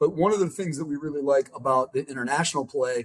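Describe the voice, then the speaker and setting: At a very fast pace, a man speaks with an American accent and a fairly high pitch. His voice is somewhat breathy, with ordinary pitch variation. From US Midwest, Chicago. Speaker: venture capital investor and startup founder. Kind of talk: podcast interview. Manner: animated, casual.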